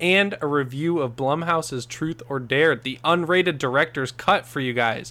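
In a normal speaking voice, a man talks at a fairly high pitch. His pitch variation is ordinary and his pace moderate. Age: 20s. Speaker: podcast host. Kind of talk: casual chat.

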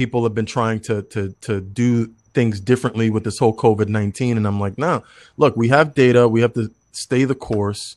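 On a very clean recording with a silent background, a man of medium pitch speaks at a moderate pace in an ordinary speaking voice with fairly even intonation. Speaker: doctor. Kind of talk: casual chat.

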